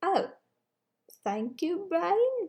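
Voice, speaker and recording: The speaker uses a put-on character voice at an extremely high pitch. The pitch swings very widely. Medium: audio drama.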